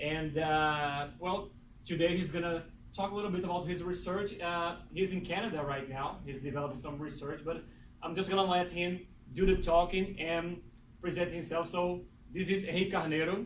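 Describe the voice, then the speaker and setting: A man with a Portuguese accent speaks at a high pitch. His intonation stays fairly even, with audible room echo. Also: moderate pace. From Brazil, Recife. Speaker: doctoral student introducing speaker. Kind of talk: speaker introduction. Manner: halting, many fillers.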